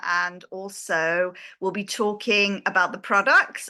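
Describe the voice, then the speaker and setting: A woman speaks with a British accent at a medium pitch and a bright, sharp tone. The background is quiet. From Britain. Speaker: interior designer and network marketing partner. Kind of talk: online product presentation.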